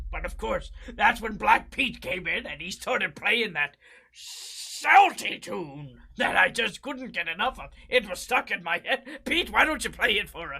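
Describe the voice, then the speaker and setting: A put-on character voice with a fairly high pitch moves along at a moderate pace. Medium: game stream. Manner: reflective, storytelling.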